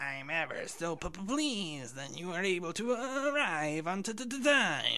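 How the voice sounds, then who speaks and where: A theatrical, put-on character voice at a middle pitch, swinging very widely up and down. The pace is fairly slow, with hardly any pauses. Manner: affected, theatrical.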